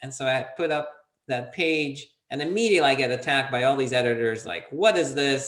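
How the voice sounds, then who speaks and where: A man with lively intonation uses a normal speaking voice at a moderate speed. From Soviet Union, half raised in US. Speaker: entrepreneur, PR consultant. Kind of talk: interview.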